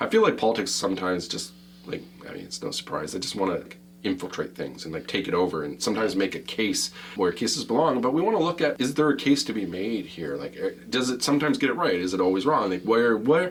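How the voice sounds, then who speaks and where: Very wide pitch swings at a very fast pace, with noticeable background noise. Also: man. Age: old. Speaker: podcast host. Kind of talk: casual chat. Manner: animated.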